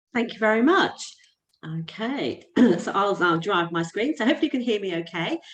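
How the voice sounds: In a put-on character voice, the speaker sounds croaky, swinging very widely in pitch at a moderate pace. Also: woman, medium pitch for a woman.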